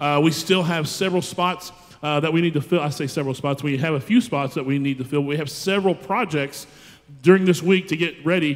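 This man's speech rushes along very fast. The intonation remains fairly even. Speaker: student pastor. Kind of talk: church announcement. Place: church. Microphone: handheld.

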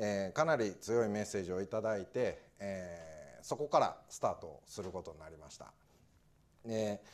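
A man with an ordinary speaking voice talks at a fairly slow pace, his fairly low pitch carrying lively intonation and big swings in loudness. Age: 40s. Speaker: administrative scrivener; guest lecturer. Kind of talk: talk to audience. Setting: lecture hall with audience. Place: classroom.

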